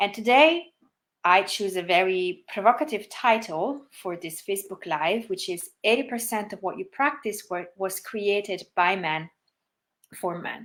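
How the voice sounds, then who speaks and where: A woman with an Italian accent speaks at a fairly slow pace in a medium pitch, her intonation lively and her loudness swinging widely, on a very clean recording with a silent background. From Italy. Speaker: yoga teacher. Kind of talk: livestream talk. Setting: Facebook livestream. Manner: soft-spoken.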